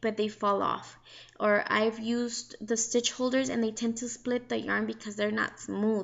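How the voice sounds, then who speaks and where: A woman is speaking. She has a Mexican accent. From Mexico. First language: Spanish. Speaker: crochet hobbyist vlogger. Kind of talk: casual tutorial. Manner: casual, halting with fillers.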